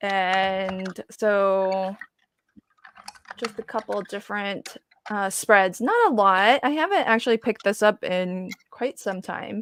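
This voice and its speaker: A woman with an American accent talks at a very slow pace, her pitch medium and her intonation fairly even. The sound is dry and close, with no echo. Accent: occasional slight Southern twang. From US South, Virginia. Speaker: craft livestream host. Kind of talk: casual chat. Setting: livestream video call with guests.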